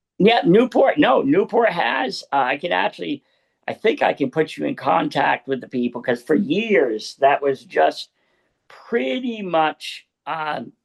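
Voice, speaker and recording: A man's fairly high, fairly slow voice with vocal fry and very wide pitch swings, in a dry, close sound with no echo. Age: 60s. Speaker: talk show host and local publisher. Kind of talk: casual interview chat. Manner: halting.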